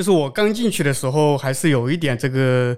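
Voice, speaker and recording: On a very clean recording with a silent background, a man with a fairly high pitch talks at a very fast pace with ordinary pitch variation. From Zhejiang, China. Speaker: software architect. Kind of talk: casual chat at live event. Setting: live recording at developer conference.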